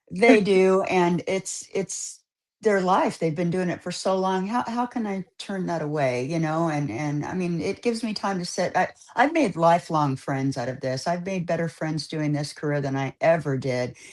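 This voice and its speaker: With an American accent, a woman with an unremarkable speaking voice talks at a moderate pace and fairly low pitch, her intonation lively. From California. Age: 60s. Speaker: barber. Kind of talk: casual chat.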